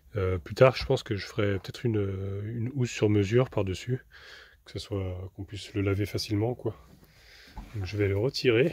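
A man speaks at a moderate pace and fairly low pitch with ordinary variation, his slightly mellow tone carrying a slightly husky edge.

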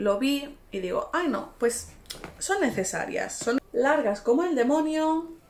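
A woman's high pitch with very wide pitch swings, at a very slow pace, over light background noise. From Spain. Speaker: fashion youtuber. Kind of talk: try-on haul vlog. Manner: animated.

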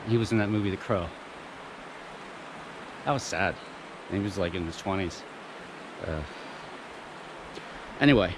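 A man speaks at a fairly quick pace in a fairly low pitch. Noticeable background noise runs behind him. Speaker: outdoor explorer vlogger. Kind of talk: casual vlog chat. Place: waterside. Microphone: phone near.

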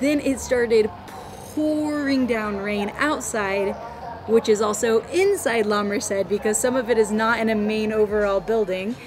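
The speech shows ordinary pitch variation over noticeable background noise. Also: woman, moderate pace. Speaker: travel vlogger. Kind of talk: casual vlog chat. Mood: amused, cheerful.

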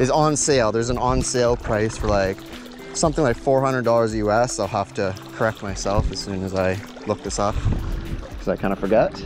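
Over clear background music, a man with a fairly low pitch speaks in a dry sound with no echo. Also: moderate pace. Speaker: product reviewer. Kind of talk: casual review commentary. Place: waterside.

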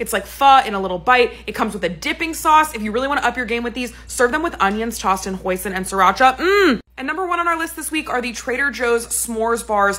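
With lively intonation, a woman speaks at a high pitch. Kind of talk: casual vlog chat. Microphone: phone near.

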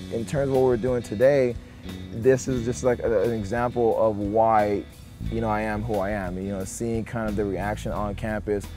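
Faint music plays in the background as a man talks at a moderate pace, fairly low-pitched with fairly even intonation, the sound dry with no echo. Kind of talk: interview answer. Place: street.

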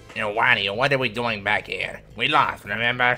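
A man puts on a character voice at a medium pitch. He talks at a moderate pace over light background noise. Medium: fan dub. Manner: crude, sarcastic.

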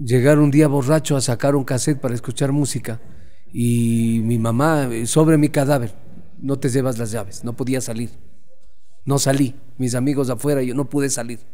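With fairly even intonation, the man keeps a moderate pace. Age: 50s. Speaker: sports journalist. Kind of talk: interview. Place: home room. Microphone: studio mic.

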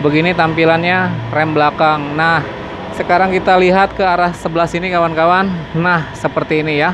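The voice moves at a fairly quick pace with monotone, flat intonation and very even loudness. Background noise is noticeable. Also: man, high pitch for a man. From Indonesia. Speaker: motorcycle vlogger. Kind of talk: walkaround product review; product walkaround commentary. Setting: at a motorcycle dealership workshop. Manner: casual, filler-heavy. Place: shop. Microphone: phone near.

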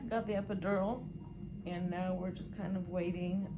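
A woman's intonation stays fairly even. Behind her, music is playing. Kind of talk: casual vlog chat. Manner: quiet, weary voice lying in bed. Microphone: camera far.

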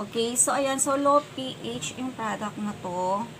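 A woman talks with ordinary pitch variation while noticeable background noise plays behind her. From Philippines. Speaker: beauty vlogger. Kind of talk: product review vlog; casual product review vlog. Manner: casual, filler-heavy. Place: home room. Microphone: phone near.

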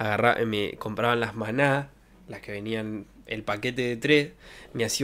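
A man with a Rioplatense accent speaks at a moderate pace. His pitch is medium, with ordinary variation. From Argentina. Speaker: streamer. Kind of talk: casual chat. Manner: animated. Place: home room. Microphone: studio mic.

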